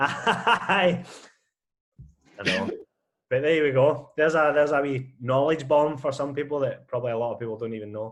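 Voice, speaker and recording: A man in a Scottish accent, with long, frequent pauses. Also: fairly high pitch for a man, ordinary pitch variation, moderate pace. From Scotland. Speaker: podcast co-host. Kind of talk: casual chat.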